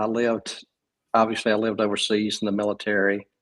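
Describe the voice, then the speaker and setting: A man's medium-pitched voice with a Southern US accent at a moderate pace. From US South, South Georgia. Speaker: writer and podcaster, military veteran. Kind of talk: casual interview conversation. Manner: halting, many fillers and restarts.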